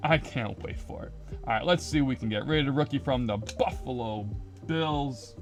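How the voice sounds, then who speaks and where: A man's medium-pitched voice at a moderate pace, with very wide pitch swings, big swings in loudness, and music in the background. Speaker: YouTuber opening trading card packs. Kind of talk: casual pack-opening video. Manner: animated.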